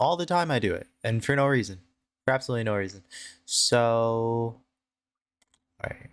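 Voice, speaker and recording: The man speaks with ordinary pitch variation. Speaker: video diary vlogger. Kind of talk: casual video diary monologue. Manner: rambling, hesitant with many fillers.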